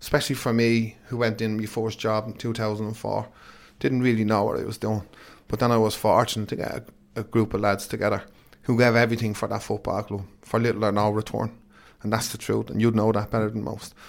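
A man with an Irish accent rattles along at a very fast pace. His fairly low voice stays in a flat monotone. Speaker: football manager. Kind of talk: interview.

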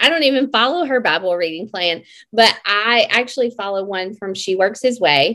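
With a Southern US accent, the voice has a bright, sharp tone and ordinary pitch variation on a very clean recording with a silent background. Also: woman. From Mississippi. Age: 40s. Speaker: health and fitness coach. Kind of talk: casual interview.

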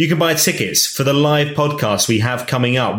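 A man speaks in a somewhat breathy voice. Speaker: podcast host and former radio presenter. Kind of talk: casual interview.

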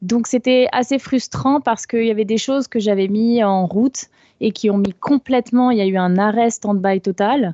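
A woman talks at a moderate pace in an ordinary speaking voice. Her loudness stays very even, with ordinary pitch variation. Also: fairly high pitch for a woman. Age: 20s. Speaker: caller. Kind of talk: testimony on a live call-in show.

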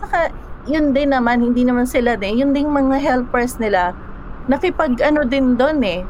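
Amid noticeable background noise and audible room echo, a woman with a high pitch speaks at a moderate pace. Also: ordinary pitch variation. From Philippines. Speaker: storyteller guest. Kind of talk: storytelling interview. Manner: halting.

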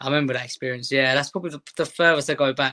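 A man speaks very fast in a bright, sharp tone. His intonation is flat and monotone, and the sound is dry and close with no echo. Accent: London. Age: 20s. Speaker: Sunday league footballer. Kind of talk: casual interview.

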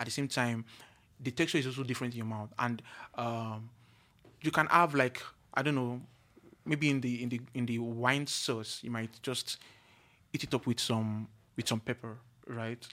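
Pausing long and often, a man with a bright, sharp tone speaks at a medium pitch and a moderate pace with fairly even intonation. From Nigeria. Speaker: chef and culinary school owner. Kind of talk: casual chat. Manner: halting, repeats words.

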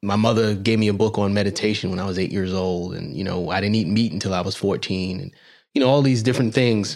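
Speaking at a very fast pace, a man uses a fairly low voice with ordinary pitch variation. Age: 40s. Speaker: podcast host, doctor. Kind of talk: interview.

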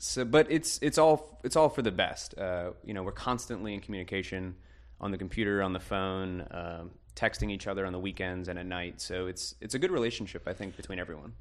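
Very wide pitch swings at a fairly quick pace, with an American accent and a quiet background. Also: man, very deep, low pitch for a man. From US South, Kenner, Louisiana (Greater New Orleans). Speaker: architect and studio co-founder. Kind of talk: casual interview.

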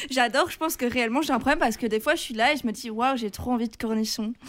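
Her pitch is high, and this woman talks at a very fast pace. She uses ordinary pitch variation. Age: 20s. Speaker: student radio co-host, news columnist. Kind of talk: scripted narration; casual chat.

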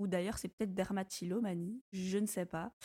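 This woman has a normal speaking voice at medium pitch, with fairly even intonation. She talks at a moderate pace, and the sound is dry and close with no echo. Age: 20s. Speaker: entrepreneur. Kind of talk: casual chat.

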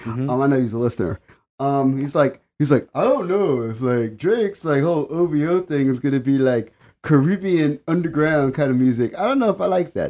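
This man has a normal speaking voice, pitched fairly high. He talks at a fairly quick pace with lively intonation. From Washington DC, US. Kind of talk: casual chat.

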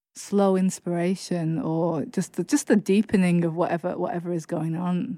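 A woman speaks with a Lancashire accent in a dark, mellow tone at medium pitch. Her fairly even intonation moves at a fairly slow pace over a silent background on a very clean recording. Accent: northern English (Lancashire). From northwest England, Chorley. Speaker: poet and author. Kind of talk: interview.

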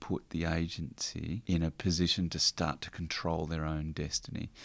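A man with an Australian accent and a very deep, low pitch speaks at a fairly slow pace with ordinary pitch variation, in a very clean recording over a silent background. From country Victoria, Australia (Warrnambool). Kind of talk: interview. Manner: halting.

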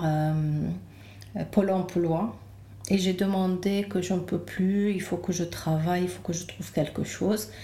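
Amid noticeable background noise and audible room echo, a woman speaks very slowly in a calm tone, at medium pitch with ordinary pitch variation. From Lebanon. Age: 40s. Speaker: naturopath. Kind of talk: interview. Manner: halting.

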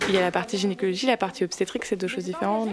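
A woman talks at a very fast pace, with noticeable noise in the background. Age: 20s. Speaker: medical resident in obstetrics and gynecology. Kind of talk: documentary interview and ward recordings.

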